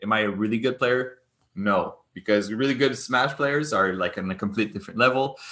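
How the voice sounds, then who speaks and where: A man with a Quebec accent speaks at a medium pitch and a fairly quick pace, his tone bright and sharp, his pitch varying in an ordinary way against a quiet background. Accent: Québécois French-accented English. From Quebec, Montreal. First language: French. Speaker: gaming and esports entrepreneur. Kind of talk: interview conversation. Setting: remote call. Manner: animated, laughs often; hesitant, many fillers and repetitions.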